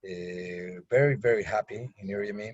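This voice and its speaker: A man speaks with a Mexican accent. His voice is somewhat breathy. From Mexico, Mexico City. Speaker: resident, new immigrant. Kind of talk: video call panel discussion. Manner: halting, many fillers.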